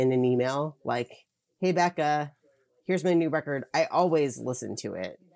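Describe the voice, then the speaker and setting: A woman's very deep, low voice with an American accent, at a moderate pace with ordinary pitch variation, on a very clean recording with a silent background. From Philadelphia, US. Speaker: record label publicist. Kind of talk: casual interview chat.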